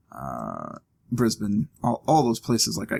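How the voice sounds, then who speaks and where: A man speaks with an American accent. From US, Ohio. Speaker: gaming video commentator. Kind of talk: let's play commentary. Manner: casual, self-talking.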